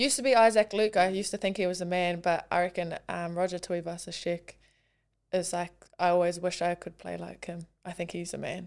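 In a very clean recording with a silent background, a speaker with a New Zealand accent talks at a fairly quick pace. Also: woman, fairly low pitch for a woman. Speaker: professional rugby league player. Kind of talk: casual interview.

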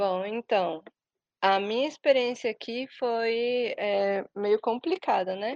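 A woman's fairly high voice at a very slow pace, with ordinary pitch variation and a dry, close sound with no echo. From Brazil. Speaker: Brazilian expat interviewee. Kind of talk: interview. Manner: hesitant, many fillers.

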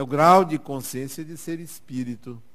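The speaker is a man going at a fairly slow pace. His pitch varies in an ordinary way. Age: 60s. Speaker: spiritist lecturer. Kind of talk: lecture. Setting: stage with audience.

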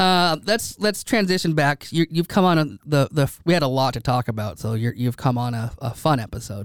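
A man with a plain, everyday voice speaks at a moderate pace, fairly high in pitch with lively intonation. The recording is very clean with a silent background and a dry, close sound with no echo. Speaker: podcast host. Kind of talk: casual chat.

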